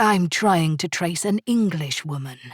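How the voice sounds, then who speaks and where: A woman uses a put-on character voice with a fairly low pitch. Her intonation is lively. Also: moderate pace, dry, close sound with no echo, very clean recording, silent background. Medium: read story. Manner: smooth, polite.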